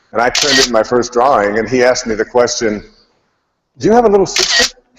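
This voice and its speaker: Talking at a very fast pace yet leaving long, frequent pauses, a man with an American accent speaks at a medium pitch. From US Midwest, Detroit. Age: 60s. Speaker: spiritual speaker. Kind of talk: inspirational talk.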